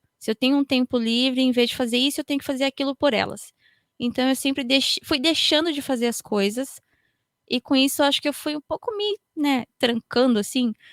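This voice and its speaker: Close and dry with no echo, a woman speaks at a moderate pace in a high voice, with ordinary pitch variation and very even loudness. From Japan. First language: Japanese (speaking Portuguese). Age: 30s. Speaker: podcaster. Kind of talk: panel discussion.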